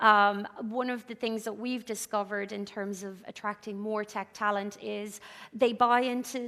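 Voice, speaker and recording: In an Irish accent, a bright, sharp voice speaks at a fairly slow pace with monotone, flat intonation, on a very clean recording with a silent background. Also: woman. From Ireland. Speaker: business founder speaker. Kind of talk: conference talk. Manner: hesitant, many fillers.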